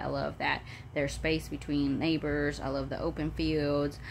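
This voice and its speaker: A woman talks at a moderate pace in an animated tone. Audible room echo surrounds her voice. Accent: Southern US. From Florida, Polk County. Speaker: vlogger. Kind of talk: casual vlog monologue. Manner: animated, chatty; halting, many fillers.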